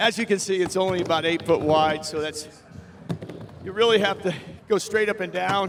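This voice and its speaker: A man with an American accent and a high pitch, at a moderate pace with fairly even intonation and long, frequent pauses, against noticeable background noise. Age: 60s. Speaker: skateboarder. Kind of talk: casual talk.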